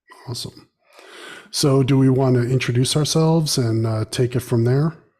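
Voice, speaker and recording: A man with an American accent, dark and mellow in tone, somewhat breathy, at a medium pitch, a moderate pace and fairly even intonation. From United States. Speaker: podcast co-host and novelist. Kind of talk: casual chat.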